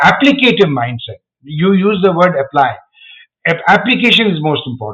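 This man speaks with a high pitch. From India, Agra. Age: 60s. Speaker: educator. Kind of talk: interview.

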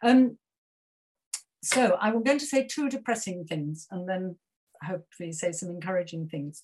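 With a British accent, a woman speaks at a moderate pace and medium pitch, somewhat breathy, with lively intonation, big swings in loudness, and long, frequent pauses. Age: 70s. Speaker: retired author and breastfeeding advocate. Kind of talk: keynote talk and panel discussion. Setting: video call.

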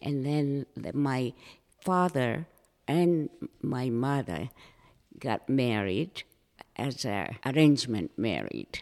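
The speaker, with a Japanese accent, talks at a very slow pace with long, frequent pauses. The intonation is lively. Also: woman, very deep, low pitch for a woman. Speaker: former flight attendant and artist. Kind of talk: interview storytelling. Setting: room with echo.

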